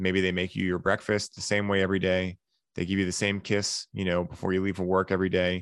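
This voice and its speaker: Talking at a fairly quick pace, a man with an American accent has a very deep, low voice. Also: quiet background. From Massachusetts, US. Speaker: podcast host and wellness coach. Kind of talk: casual chat. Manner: animated.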